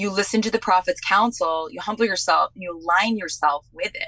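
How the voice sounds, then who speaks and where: Here a woman talks at a moderate pace. Her tone is bright and sharp. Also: dry, close sound with no echo. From New England. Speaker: podcast host guest. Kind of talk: casual chat. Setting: video call.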